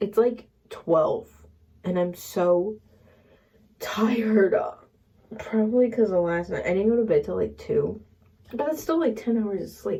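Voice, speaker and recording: A woman puts on a raspy character voice, fairly high in pitch, at a moderate pace with long, frequent pauses. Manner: drowsy, low energy.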